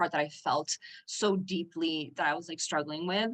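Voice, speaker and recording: Here a woman is speaking. She has a Spanish accent. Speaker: business coaching client. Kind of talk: podcast interview.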